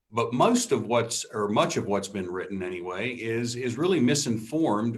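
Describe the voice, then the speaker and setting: A man speaks at a medium pitch and a moderate pace. His intonation is lively. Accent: American. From West Virginia (Wheeling). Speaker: policy think tank president. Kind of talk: interview. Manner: hesitant with fillers.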